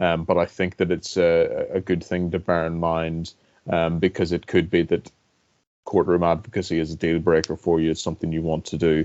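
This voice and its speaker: A fairly quick pace in a Northern Irish accent. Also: man. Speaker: government lawyer, barrister. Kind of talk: panel talk. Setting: webinar. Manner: hesitant, many fillers.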